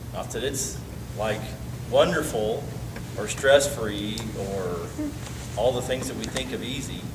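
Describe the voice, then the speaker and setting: Against noticeable background noise, a man speaks at a fairly slow pace with lively intonation and long, frequent pauses. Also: medium pitch for a man. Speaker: pastor. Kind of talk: bible study teaching. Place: meeting room. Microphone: camera far.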